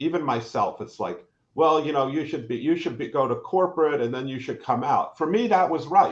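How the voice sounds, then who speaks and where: A man's fairly high-pitched voice with lively intonation, a normal speaking voice. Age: 60s. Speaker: professor and entrepreneur. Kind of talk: live panel conversation. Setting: live online stream.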